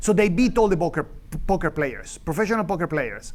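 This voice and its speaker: Room echo is audible as a man talks with ordinary pitch variation. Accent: Venezuelan. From Venezuela. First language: Spanish. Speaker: economics professor. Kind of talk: lecture. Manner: halting, many fillers and restarts; animated.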